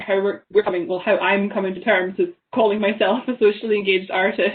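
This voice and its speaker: A woman talks at a fairly quick pace with fairly even intonation. Her pitch is medium. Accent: Highland Scottish. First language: Scottish Gaelic. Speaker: artist and graphic designer. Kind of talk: panel discussion. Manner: halting, with many repetitions.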